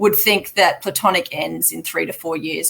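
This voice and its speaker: The speaker has an Australian accent and talks at a fairly quick pace. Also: woman. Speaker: mining company chief executive. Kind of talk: investor Q&A. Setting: live online webinar.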